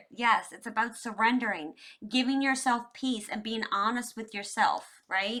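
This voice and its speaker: With a normal speaking voice, a woman talks at a moderate pace and a fairly high pitch. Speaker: tarot reader. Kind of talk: tarot reading. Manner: casual, conversational.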